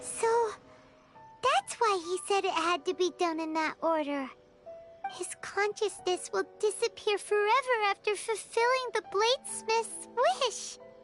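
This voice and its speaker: A put-on character voice speaks at an extremely high pitch and a fairly slow pace. Clear music plays in the background. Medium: video game. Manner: expressive.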